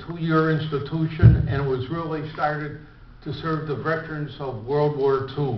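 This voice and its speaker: Recorded with audible room echo and noticeable background noise, a man with a Chicago accent speaks at a fairly high pitch with fairly even intonation. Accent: Chicago American English. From US Midwest, Chicago. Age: 70s. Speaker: club member giving biography talk. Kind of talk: autobiographical speech. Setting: breakfast meeting with audience. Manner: halting.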